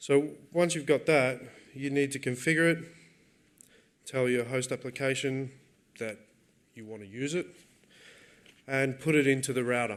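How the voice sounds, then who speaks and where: With an Australian accent, a man speaks at a moderate pace in a medium pitch, his intonation fairly even, his loudness swinging widely, and long pauses coming often. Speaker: software developer giving a conference talk. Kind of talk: technical talk. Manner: casual with frequent fillers and repetitions.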